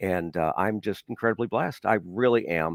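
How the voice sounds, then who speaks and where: A man with an American accent and ordinary pitch variation, in a dry, close sound with no echo. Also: very clean recording, silent background. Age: 60s. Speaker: radio personality. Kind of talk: interview. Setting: podcast.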